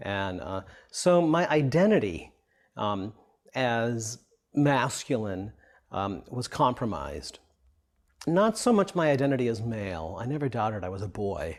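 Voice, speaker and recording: A man speaks at a medium pitch and a fairly slow pace. His pitch swings very widely, with long, frequent pauses. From immigrant from Europe, raised in the US. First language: not English, a European language. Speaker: author speaking about his own life. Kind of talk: interview testimony. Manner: hesitant, with frequent um and uh.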